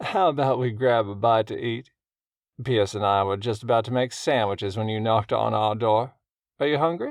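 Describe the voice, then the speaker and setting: A man puts on a booming character voice at medium pitch, talking at a fairly quick pace with ordinary pitch variation. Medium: read story. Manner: smooth, charming.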